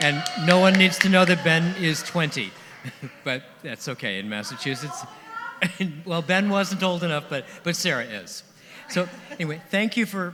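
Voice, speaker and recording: There is noticeable background noise as a man speaks at a high pitch. He leaves long, frequent pauses. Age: 70s. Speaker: songwriter celebrating his birthday. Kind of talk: party speech. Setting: stage with audience.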